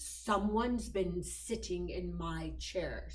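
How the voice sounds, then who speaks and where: A put-on character voice growls, gruff and very slow. There is audible echo around it. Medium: read story. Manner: gruff, growling.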